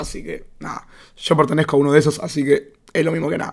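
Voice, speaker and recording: A man with a Rioplatense accent rushes at a very fast pace, his fairly high voice monotone and flat. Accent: Argentine Rioplatense Spanish. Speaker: podcaster. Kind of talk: casual monologue. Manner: mumbling.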